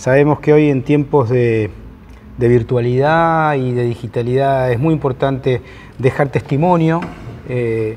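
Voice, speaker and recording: With a Rioplatense accent, the voice has a dark, mellow tone, fairly even intonation and a fairly slow pace. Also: man, medium pitch for a man. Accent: Argentine Spanish (rioplatense). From Argentina. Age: 60s. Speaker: sociologist and professor. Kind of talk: lecture. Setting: conference hall with audience. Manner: halting, many fillers.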